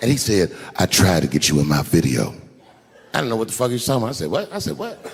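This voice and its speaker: A man talks at a very fast pace, his pitch fairly low yet swinging very widely. Noticeable background noise runs underneath. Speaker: stand-up comedian. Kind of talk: stand-up comedy set to a live audience.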